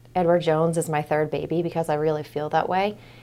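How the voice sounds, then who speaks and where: A woman with an American accent talks at a very fast pace and a fairly low pitch on a very clean recording with a silent background. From Maine, US (Portland area). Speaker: financial advisor. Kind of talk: casual interview.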